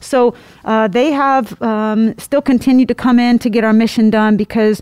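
A woman with an American accent, a normal speaking voice, fairly high pitch, ordinary pitch variation, a fairly slow pace, dry and close with no echo. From Indiana. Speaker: air force senior enlisted leader. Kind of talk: interview.

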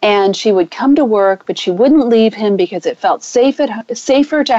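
Heard in a dry, close sound with no echo, a woman speaks at a fairly high pitch. Her pace is fairly slow and her intonation lively. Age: 50s. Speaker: relationship coach. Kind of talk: interview. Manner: animated.

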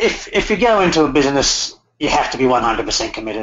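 Here is a man with an Australian accent. He talks at a moderate pace. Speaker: motorcycle tour business owner. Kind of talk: interview. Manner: halting.

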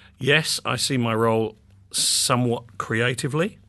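Speaking with a southern English accent, a man of medium pitch uses ordinary pitch variation over a quiet background. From England, North London. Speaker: publishing executive. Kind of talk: interview. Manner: hesitant, many fillers and repeats.

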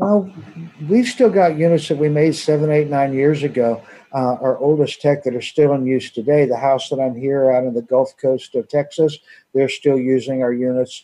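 A man talks at a moderate pace with a fairly high pitch and ordinary pitch variation. He has a plain, everyday voice. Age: 50s. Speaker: water device company owner. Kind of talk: radio interview.

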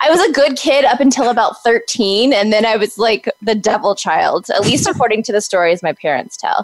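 Her fairly high pitch swinging very widely, a woman talks at a moderate pace with hardly any pauses, in a dry, close sound with no echo. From Texas. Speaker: social media agency owner. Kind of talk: interview.

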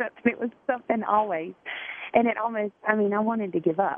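The speaker has a Southern US accent. The pace is fairly quick. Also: woman. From South Carolina. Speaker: single mom, Army National Guard veteran.

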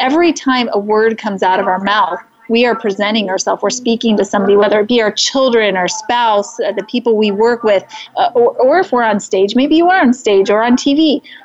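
A woman's fairly high voice, lively in intonation, fairly quick and very even in loudness, amid noticeable background noise. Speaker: livestream host and speaker. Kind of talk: casual live-streamed interview. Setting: live stream at an event. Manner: soft-spoken.

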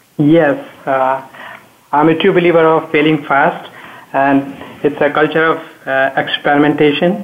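Noticeable background noise sits under a man's fairly high voice. He speaks slowly and flatly in a monotone, at very even loudness, with long, frequent pauses. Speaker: technology expert. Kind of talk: panel discussion.

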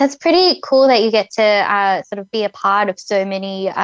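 A woman talks in a plain, everyday voice at medium pitch, with ordinary pitch variation. Her moderate pace comes through a dry, close sound with no echo. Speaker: co-host. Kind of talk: casual interview chat.

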